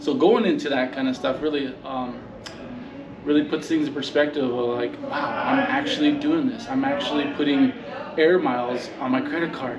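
Fairly even intonation at a moderate pace, with clear background noise. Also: man, medium pitch for a man.

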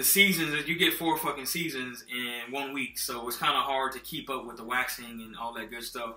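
Faint music plays in the background of this recording, which carries audible room echo. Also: man. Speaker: car care vlogger. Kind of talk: casual tutorial. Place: kitchen. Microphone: phone near.

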